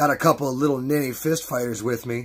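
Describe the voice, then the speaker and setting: Using a put-on character voice at medium pitch, a man speaks at a very fast pace. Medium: read story. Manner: cocky, crude.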